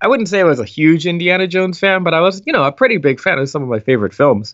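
A man's high-pitched voice at a very fast pace, with very wide pitch swings. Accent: American. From US Northeast, West Philadelphia. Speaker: video game composer. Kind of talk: interview.

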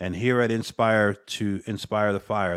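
A man with an American accent talks at a fairly low pitch on a very clean recording with a silent background. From US Northeast, Paterson, New Jersey. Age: 50s. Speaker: podcast host and life coach. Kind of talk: unscripted solo monologue. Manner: casual, repetitive emphasis.

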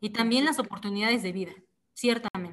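A woman's fairly high pitch moves with ordinary pitch variation in an unremarkable speaking voice. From Mexico, Oaxaca. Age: 20s. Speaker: activist. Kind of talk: interview.

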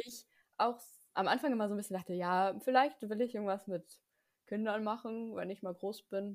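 A woman with a normal speaking voice talks at a moderate pace. Her pitch is medium and her intonation fairly even. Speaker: podcast co-host, student. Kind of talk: casual chat.

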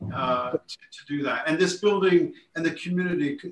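Speaking at a fairly quick pace, a man with an American accent has a high-pitched voice. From Lake Forest, Illinois. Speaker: architect. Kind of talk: podcast interview.

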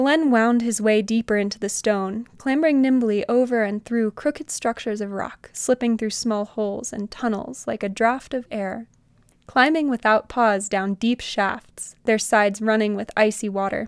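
A woman's fairly high, dramatic voice with fairly even intonation and hardly any pauses, dry and close with no echo, in a very clean recording with a silent background. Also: moderate pace. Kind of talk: literary audiobook reading of a fantasy story, read aloud as scripted narration. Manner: lyrical, descriptive, slightly dramatic cadence.

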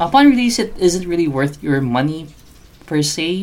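A man speaks with a Filipino accent. His intonation is lively. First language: Tagalog. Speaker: podcast host. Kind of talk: casual podcast monologue. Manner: filler-heavy, informal.

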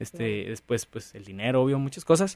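At a moderate pace, a man uses a normal speaking voice at a medium pitch. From rural Nuevo León, Mexico. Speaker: entrepreneur. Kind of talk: interview.

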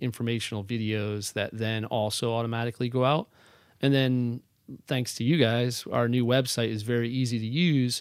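At a moderate pace, a man uses a normal speaking voice at medium pitch with fairly even intonation. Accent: American. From northern New Jersey. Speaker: real estate agent, former performer. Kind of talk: casual interview.

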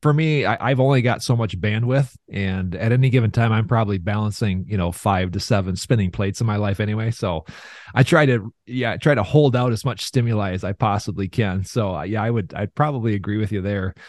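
The speech moves at a fairly quick pace with hardly any pauses and ordinary pitch variation. The background is quiet. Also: man, fairly low pitch for a man. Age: 40s. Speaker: financial firm business developer, former TV weatherman. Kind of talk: interview.

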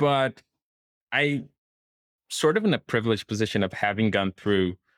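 A man talks at a moderate pace with a Portuguese accent. The sound is dry and close, with no echo. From Brazil. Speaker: software engineer. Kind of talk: casual interview conversation.

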